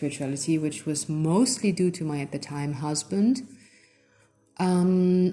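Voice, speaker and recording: A woman speaks with lively intonation at a fairly slow pace. Her pitch sits fairly low. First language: not English. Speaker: channel host giving personal testimony. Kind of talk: personal testimony. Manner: halting, with frequent self-corrections and fillers.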